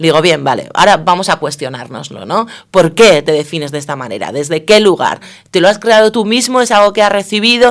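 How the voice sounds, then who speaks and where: A woman with a Basque accent speaks with very wide pitch swings. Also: medium pitch for a woman, fairly quick pace. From Basque Country, Spain. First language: Basque (speaking Spanish). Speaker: political science professor. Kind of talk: radio interview.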